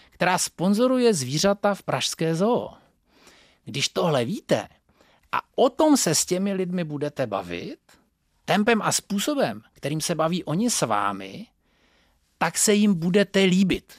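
Very clean and silent in the background, this recording has a dry, close sound with no echo as a man speaks at a fairly slow pace with a high pitch and very wide pitch swings. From northern Moravia, Czechia. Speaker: communication trainer. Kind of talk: lecture.

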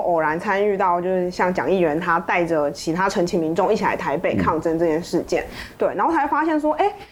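The woman's pitch swings very widely as she talks at a fairly quick pace. Noticeable background noise runs under her voice. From Taiwan, Pingtung. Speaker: journalist. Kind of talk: interview conversation.

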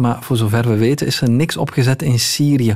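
There is noticeable background noise behind a man whose pitch varies in an ordinary way. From Belgium. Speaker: news journalist. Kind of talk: radio interview.

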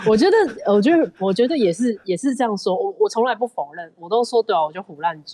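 At a fairly quick pace with hardly any pauses, a woman's fairly high voice makes very wide pitch swings and big swings in loudness. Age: young. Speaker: film producer and company founder. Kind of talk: casual interview.

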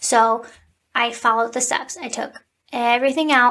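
A woman speaks with an American accent at a high pitch. Her pace is moderate and her intonation fairly even. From Cleveland, Ohio, US. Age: 20s. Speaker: podcast host, teacher. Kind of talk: casual solo podcast talk. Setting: recording at home.

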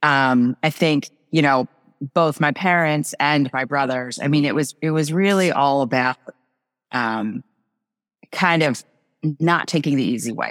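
In a very clean recording with a silent background and a dry, close sound with no echo, a woman with an American accent speaks at a fairly slow pace and very deep, low pitch, with ordinary pitch variation and long, frequent pauses. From New Jersey. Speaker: tech founder and marketing executive. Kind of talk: casual interview.

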